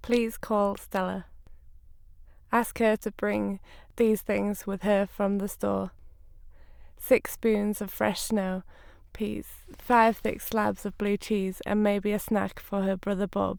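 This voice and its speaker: Speaking with an English accent, a woman holds a medium pitch with monotone, flat intonation. She goes very slowly, with long, frequent pauses. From Northern England. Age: 20s. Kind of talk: read-aloud sentences for speech corpus.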